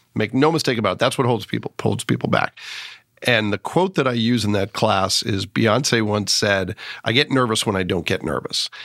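A man talks at a moderate pace and medium pitch, with ordinary pitch variation. He has a plain, everyday voice, and the sound is dry and close with no echo. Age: 50s. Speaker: podcast host. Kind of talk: casual interview.

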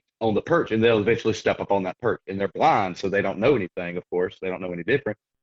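A man with a Southern US accent speaks very fast. His voice is fairly low, with ordinary pitch variation. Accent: Southern US (Georgia). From US South, Georgia (near Athens). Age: 30s. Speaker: falconer and hunter. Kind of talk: casual interview.

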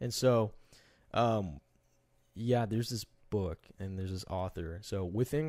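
A plain, everyday voice from a man, fairly low in pitch with ordinary pitch variation, on a very clean recording against a silent background. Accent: American. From Texas, Dallas. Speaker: student ministry member. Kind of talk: casual chat.

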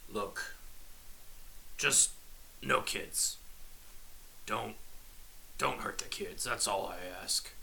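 A man puts on a character voice and speaks at a very slow pace. He leaves long, frequent pauses, and background noise is clearly heard. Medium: actual play. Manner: wry, tired.

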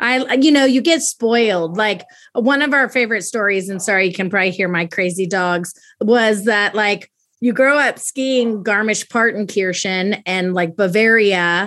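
In a very clean recording with a silent background, a woman with an ordinary speaking voice talks at a moderate pace and medium pitch with ordinary pitch variation. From US military bases, moved often (US states, Germany, Italy). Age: 40s. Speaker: daughter of a military officer, podcast guest. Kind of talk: casual interview.

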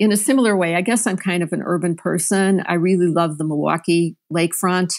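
An unremarkable speaking voice, a woman with an American accent talks at a fairly low pitch with fairly even intonation on a very clean recording with a silent background. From Chicago, US Midwest. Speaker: nonprofit news editor. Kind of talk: interview.

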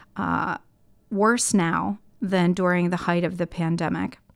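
A woman's fairly low-pitched voice. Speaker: podcast host. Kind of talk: interview conversation, podcast.

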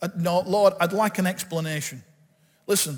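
Animated in tone, a man speaks with ordinary pitch variation. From northern England, Bolton. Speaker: pastor. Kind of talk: sermon.

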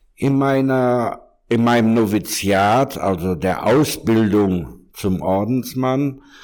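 The speaker is a man. He talks at a very slow pace. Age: 60s. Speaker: monk and pastoral worker. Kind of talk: interview conversation. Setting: room in a monastery.

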